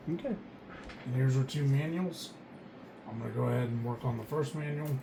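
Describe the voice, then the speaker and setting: A woman's quiet voice at a moderate pace. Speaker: Lego building YouTuber. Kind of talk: casual build commentary. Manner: quiet, subdued.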